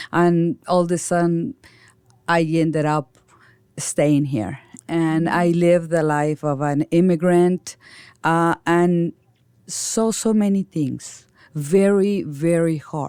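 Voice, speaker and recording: A woman speaks in a Mexican accent at a fairly low pitch, with a dark, mellow tone, a very slow pace, and long, frequent pauses. The sound is dry and close with no echo, in a very clean recording with a silent background. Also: ordinary pitch variation. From Mexico. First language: Spanish. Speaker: nonprofit founder and director. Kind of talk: interview.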